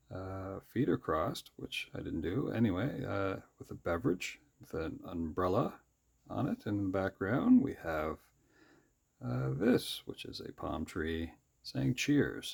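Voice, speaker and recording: A man with a very deep, low pitch, very wide pitch swings, big swings in loudness, vocal fry and a fairly slow pace. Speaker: sketchbook artist. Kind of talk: drawing tutorial commentary. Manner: rising, questioning inflection; casual, hesitant with fillers.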